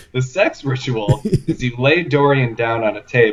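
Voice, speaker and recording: In a Midwestern accent, the speaker talks at a very slow pace in a somewhat breathy voice with ordinary pitch variation. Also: man. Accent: Midwest. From US Midwest. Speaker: author and podcast guest. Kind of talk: casual chat. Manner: halting, many fillers.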